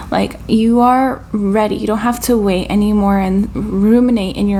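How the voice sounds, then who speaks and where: Amid audible room echo and noticeable background noise, a woman of medium pitch speaks at a fairly slow pace in a monotone, flat intonation. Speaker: tarot reader. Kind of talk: channeled tarot reading. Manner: casual, filler-heavy; halting, stuttering.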